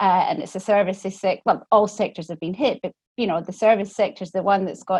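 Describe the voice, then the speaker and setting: With a Scottish accent, a woman talks at a fairly quick pace and medium pitch with fairly even intonation, in a dry, close sound with no echo against a quiet background. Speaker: economics professor, panelist. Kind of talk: webinar panel discussion.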